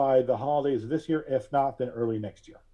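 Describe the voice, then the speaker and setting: An unremarkable speaking voice with an American accent carries ordinary pitch variation. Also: man. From Alabama and Pennsylvania. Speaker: podcast host and digital collage artist. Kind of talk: interview conversation.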